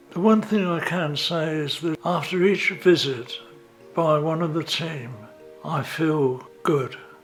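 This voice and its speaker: Against music in the background, a man with a fairly high pitch speaks at a very slow pace. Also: ordinary pitch variation. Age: 70s. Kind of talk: interview answer.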